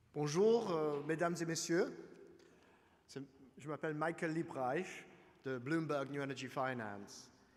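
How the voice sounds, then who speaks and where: Audible room echo surrounds a man with an English accent who speaks at a fairly high pitch and a very slow pace, with long, frequent pauses. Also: ordinary pitch variation. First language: English (speaking French). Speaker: energy finance analyst. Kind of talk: conference presentation. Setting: conference hall with audience. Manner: halting.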